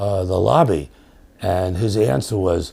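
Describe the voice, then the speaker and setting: A man with a New York accent speaks at a fairly slow pace and a very deep, low pitch. His tone is dark and mellow, with vocal fry. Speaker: professor. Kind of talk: interview storytelling. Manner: hesitant, many fillers and repetitions.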